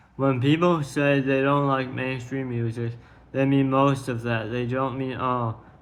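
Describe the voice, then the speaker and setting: Audible room echo surrounds a man talking at a fairly slow pace with monotone, flat intonation. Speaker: streamer. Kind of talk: monologue reading own tweets.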